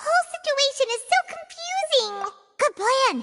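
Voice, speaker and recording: A put-on character voice squeaks at an extremely high pitch. It moves along at a moderate pace. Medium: video game. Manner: earnest, quick to react.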